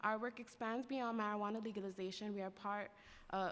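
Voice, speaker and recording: A woman at a fairly quick pace, her intonation fairly even. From New York City, Lower East Side and Spanish Harlem; New York City. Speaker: worker cooperative advocate; public witness. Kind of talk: public testimony. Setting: council chambers. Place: hall. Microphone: podium.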